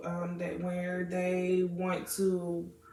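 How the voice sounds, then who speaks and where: American accent from a woman, with audible room echo. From Florida, Jamaican American family. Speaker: student interviewee. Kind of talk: interview answers. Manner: hesitant, many fillers.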